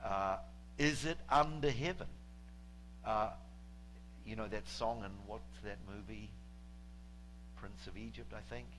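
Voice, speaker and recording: A man's voice with audible room echo. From New Zealand. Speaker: guest preacher. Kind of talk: sermon. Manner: halting, many fillers.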